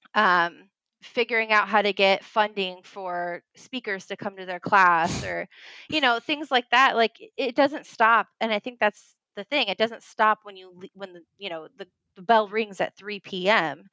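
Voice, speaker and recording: A woman speaks fairly slowly at a medium pitch in a bright, sharp tone, with ordinary pitch variation and big swings in loudness. The recording is very clean and dry, close with no echo, over a silent background. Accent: American. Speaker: history teacher. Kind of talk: interview.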